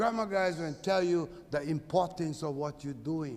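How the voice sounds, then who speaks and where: A loud man talking at a fairly slow pace. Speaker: Native Hawaiian activist. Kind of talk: testimony.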